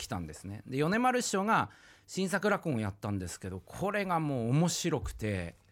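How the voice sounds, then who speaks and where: A man speaks at a fairly high pitch and a moderate pace. His pitch swings very widely on a very clean recording with a silent background. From Japan, rural Iwate (Oshu). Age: 40s. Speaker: rakugo storyteller. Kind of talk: casual interview.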